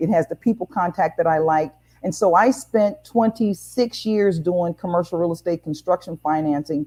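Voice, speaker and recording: The woman has an American accent and a fairly low pitch with ordinary pitch variation. Her tone is dark and mellow, and the sound is dry and close with no echo. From US Midwest, St. Louis, Missouri. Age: 60s. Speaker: banking consultant, former banker. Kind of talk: interview on online talk show.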